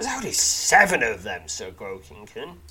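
Over faint background music, a man puts on a gruff, growling character voice at a moderate pace. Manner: impatient, aggressive.

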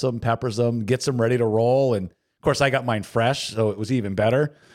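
In a very clean recording with a silent background, a man talks at a fairly quick pace with medium pitch and an unremarkable speaking voice. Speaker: podcast host and track announcer. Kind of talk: casual chat.

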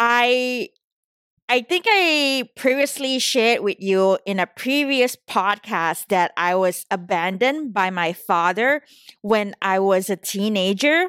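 Speech comes at a very slow pace with a very even loudness, in a Southeast Asian accent. The intonation is lively. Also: woman, fairly high pitch for a woman. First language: not English (English is third language). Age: 30s. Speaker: podcast host. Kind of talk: solo podcast monologue, casual and personal. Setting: San Francisco, recording solo.

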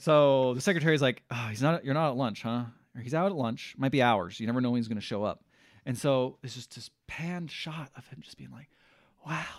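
Talking at a fairly quick pace, a man with an unremarkable speaking voice at medium pitch shows ordinary pitch variation and big swings in loudness. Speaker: podcast host. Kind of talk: casual banter.

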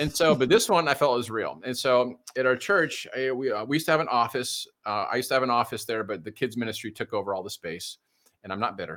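Very fast American-accented speech from a man of medium pitch, with lively intonation. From US Midwest, suburban Detroit. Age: 50s. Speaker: pastor. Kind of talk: casual chat. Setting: live show.

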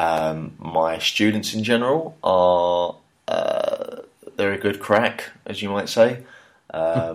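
Speaking in a London accent, a man uses a fairly low pitch with ordinary pitch variation. His pace is very slow. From England, London. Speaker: podcast co-host abroad. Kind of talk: casual chat. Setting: remote call.

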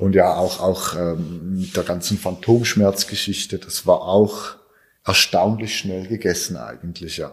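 A very deep, low male voice at a fairly slow pace with fairly even intonation. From Switzerland. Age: 20s. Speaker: cancer survivor, amputee. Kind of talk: interview. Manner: halting.

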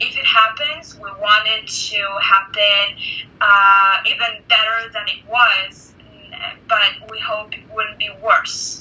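Speaking very slowly with an Israeli accent, a woman has a fairly high pitch, fairly even intonation and big swings in loudness. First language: Hebrew. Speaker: university student and entrepreneur. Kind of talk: interview. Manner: halting, many fillers.

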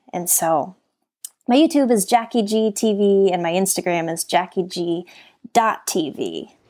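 With an American accent, a woman speaks very slowly in a dark, mellow tone at a medium pitch, her intonation lively. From Colorado, US. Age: 20s. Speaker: author and motivational speaker. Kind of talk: interview.

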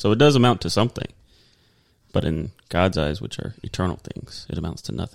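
Vocal fry runs through this voice with an American accent as the pitch swings very widely. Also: man, very deep, low pitch for a man, fairly quick pace. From Texas. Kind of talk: casual conversational podcast chat. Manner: casual, rambling.

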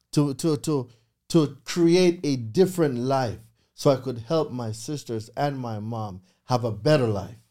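A man of medium pitch with a Jamaican accent and a dark, mellow tone, at a fairly slow pace with ordinary pitch variation, on a very clean recording with a silent background. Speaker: credit repair consultant. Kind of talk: interview. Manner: animated.

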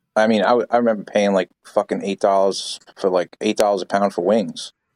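Fairly low-pitched and fairly quick, a man speaks with fairly even intonation in a dry, close, echo-free recording that is very clean against a silent background. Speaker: chef. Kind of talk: casual conversational interview. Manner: blunt, profane, emphatic.

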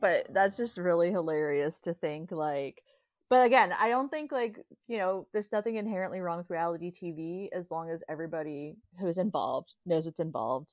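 A woman has a plain, everyday voice with lively intonation and a fairly quick pace. The sound is dry and close, with no echo. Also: fairly low pitch for a woman. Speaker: podcast co-host. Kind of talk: casual chat, recapping a TV show.

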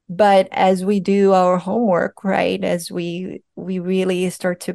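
In a Portuguese accent, the voice has a dark, mellow tone against a quiet background. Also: woman. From Brazil. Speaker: psychedelic integration coach. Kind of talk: interview.

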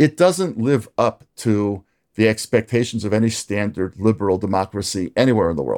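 In an American accent, a man with an ordinary speaking voice talks at a moderate pace with medium pitch and lively intonation. The recording is very clean, with a silent background and a dry, close sound with no echo. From US. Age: 60s. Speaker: rabbi and author. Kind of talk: interview.

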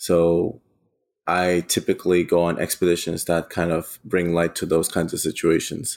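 A man with a German accent talks at a moderate pace in a very deep, low pitch. The recording is very clean, with a silent background. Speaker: eco adventurer. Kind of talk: casual interview storytelling.

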